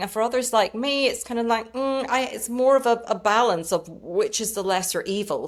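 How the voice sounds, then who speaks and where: A woman with a British accent at a fairly high pitch, moderate pace and ordinary pitch variation. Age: 60s. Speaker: lifestyle and skincare content creator. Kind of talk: interview conversation.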